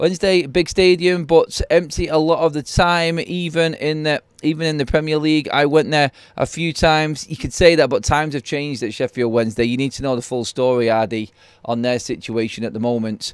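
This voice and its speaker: A man's fairly high voice in a strong Mancunian accent, fairly quick pace, ordinary pitch variation, very clean recording over a silent background. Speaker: football fan channel host. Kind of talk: live stream chat. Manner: casual, with many fillers.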